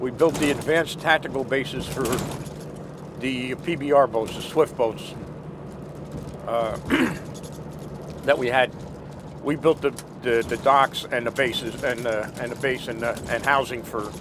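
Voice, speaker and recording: Long, frequent pauses break up this moderate-paced speech in an American accent, delivered with fairly even intonation over noticeable background noise. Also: man. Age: 60s. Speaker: war veteran. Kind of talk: interview.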